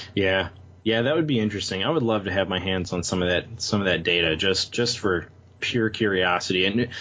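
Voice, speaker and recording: A man with a plain, everyday voice, fairly low in pitch, with ordinary pitch variation at a fairly quick pace. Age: 30s. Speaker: IT professional and tabletop game writer. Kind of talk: casual chat.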